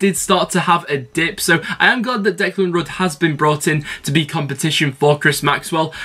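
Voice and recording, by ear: At a moderate pace, a man talks in a bright, sharp tone with ordinary pitch variation.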